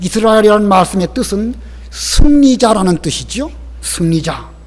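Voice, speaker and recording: This man's voice sits high in pitch. Its pitch varies in an ordinary way. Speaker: pastor. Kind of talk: sermon.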